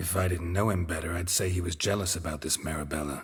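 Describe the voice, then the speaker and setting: A man uses a put-on character voice that is raspy and very deep, low in pitch. He talks at a very fast pace. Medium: video game. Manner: clipped, deadpan, dry irony.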